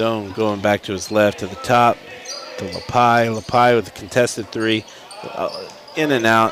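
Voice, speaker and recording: A man with an American accent, medium in pitch, at a fairly slow pace with fairly even intonation, over noticeable background noise. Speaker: high school basketball play-by-play announcer. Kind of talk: live sports commentary.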